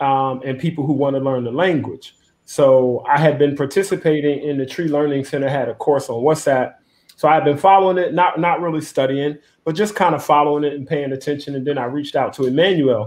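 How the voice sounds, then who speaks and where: Speaking at a fairly quick pace, the man has a fairly high pitch and fairly even intonation. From United States. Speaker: tour company founder; guest. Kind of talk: live-streamed panel discussion. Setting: video call. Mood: relaxed, frank. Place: home room. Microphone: video call.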